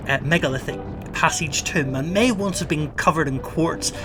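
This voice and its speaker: With music in the background, a man with an Irish accent speaks at a moderate pace with ordinary pitch variation. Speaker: hiking vlogger. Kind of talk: vlog narration.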